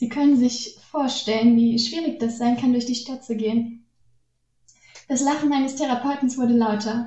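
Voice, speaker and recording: Her pitch high and her intonation fairly even, a woman talks at a moderate pace. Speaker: guest writer. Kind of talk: reading aloud.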